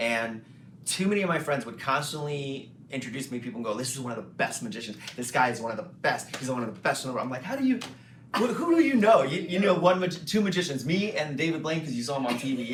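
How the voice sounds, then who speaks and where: A man's fairly high voice at a very fast pace, with lively intonation, audible room echo and noticeable background noise. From Louisiana, Cajun country (New Iberia). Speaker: magician and comedian. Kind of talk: interview. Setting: hotel interview, filmed.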